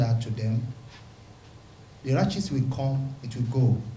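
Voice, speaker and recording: Audible room echo surrounds a man talking at a moderate pace and medium pitch. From Nigeria, Rivers State (Niger Delta). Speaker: pastor and community leader. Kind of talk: press conference statement.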